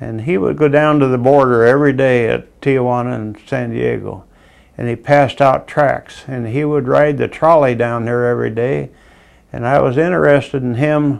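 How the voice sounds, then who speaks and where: Speaking at a moderate pace, a man with a Midwestern US accent uses a medium pitch and ordinary pitch variation. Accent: US Midwest. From Iowa. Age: 80s+. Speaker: war veteran. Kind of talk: testimony. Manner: halting.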